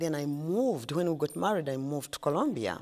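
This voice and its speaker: A woman with a Ugandan accent speaks at a moderate pace with lively intonation. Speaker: ice cream shop owner. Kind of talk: interview. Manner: halting.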